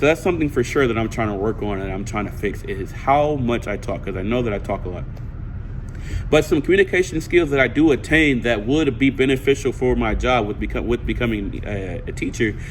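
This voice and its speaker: A man's animated, fairly quick speech with lively intonation, over noticeable background noise. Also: medium pitch for a man. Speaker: student. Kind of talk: class speech recorded to camera. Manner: fast.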